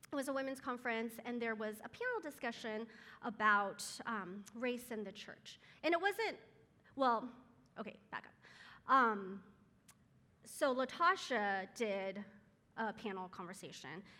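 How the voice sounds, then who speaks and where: A woman's fairly high, bright and sharp voice in an American accent, at a fairly slow pace with long, frequent pauses and big swings in loudness, on a very clean recording with a silent background. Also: ordinary pitch variation. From Taiwan, moved to US at five. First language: Chinese. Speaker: guest speaker at moms' group. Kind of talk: church talk. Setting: live audience with mic. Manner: many filler words.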